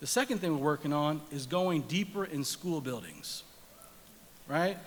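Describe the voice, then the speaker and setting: With a normal speaking voice, a man talks in a fairly high pitch at a moderate pace, using ordinary pitch variation. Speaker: nonprofit leader giving a speech at a gala. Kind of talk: public speech to an audience at an awards event.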